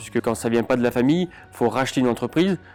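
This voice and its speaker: A man's medium-pitched voice at a fairly quick pace, ordinary pitch variation, and music in the background. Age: 30s. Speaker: winegrower. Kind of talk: interview testimony. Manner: halting, many hesitations.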